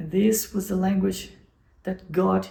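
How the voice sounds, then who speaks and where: A woman's medium-pitched voice in a Portuguese accent, dark and mellow with vocal fry, at a fairly slow pace. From Brazil. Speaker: software developer and channel host. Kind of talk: channel introduction vlog. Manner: halting, with repetitions and self-corrections.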